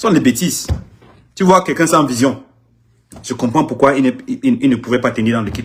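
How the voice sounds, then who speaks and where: A man with a somewhat breathy, medium-pitched voice speaks fairly quickly but with long, frequent pauses. His pitch varies in an ordinary way. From Anglophone Cameroon. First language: English (speaking French). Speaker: artist manager. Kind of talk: live social media video. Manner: halting, repetitive.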